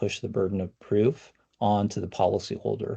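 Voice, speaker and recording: The speaker is a man with a fairly low pitch. His tone is dark and mellow. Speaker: cyber insurance expert. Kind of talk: podcast interview. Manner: fast, self-correcting with fillers.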